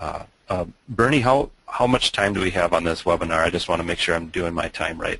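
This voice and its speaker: A man with a strong Minnesota accent talks at a fairly quick pace in a very deep, low pitch. The sound is dry with no echo, and the background is quiet. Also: ordinary pitch variation. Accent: Minnesota accent, thick. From Minnesota, US Midwest. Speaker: web agency owner, webinar presenter; webinar presenter. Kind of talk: webinar presentation. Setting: online webinar, screen share. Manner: hesitant, many fillers. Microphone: video call.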